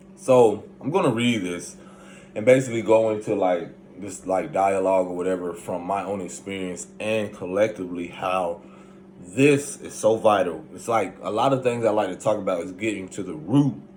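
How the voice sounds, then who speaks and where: A man with a fairly low pitch and ordinary pitch variation speaks at a moderate pace with big swings in loudness, amid noticeable background noise and audible room echo. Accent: American. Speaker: spiritual self-help vlogger. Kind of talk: casual monologue.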